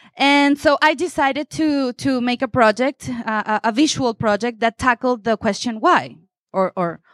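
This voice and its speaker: A woman with a Spanish accent speaks fairly slowly with lively intonation, recorded with a dry, close sound and no echo. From Venezuela. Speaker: photographer. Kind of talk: panel talk at photo exhibition.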